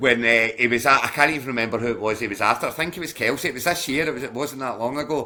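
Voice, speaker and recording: Speaking very fast with hardly any pauses, a man in a Glasgow accent uses a medium pitch and ordinary pitch variation. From Scotland, Glasgow. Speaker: fantasy football league manager. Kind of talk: casual chat. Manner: halting, many restarts.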